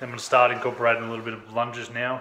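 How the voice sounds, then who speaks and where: A man talks in a room with audible echo and light background noise. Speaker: fitness vlogger. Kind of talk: casual vlog chat. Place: home room. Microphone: phone near.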